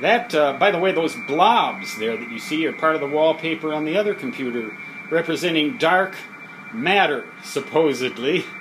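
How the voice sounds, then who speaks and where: A man with a fairly high voice talks in a relaxed tone at a moderate pace, with lively intonation. Noticeable background noise can be heard. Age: 60s. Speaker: electronics hobbyist and author. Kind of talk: casual video tour. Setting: basement hobby lab. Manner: relaxed, hesitant with fillers.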